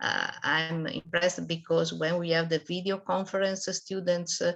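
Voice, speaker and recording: A woman speaks fairly slowly in a fairly low voice against a quiet background. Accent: non-native. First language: not English. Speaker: math and science teacher. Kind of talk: online expert talk. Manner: halting, many hesitations.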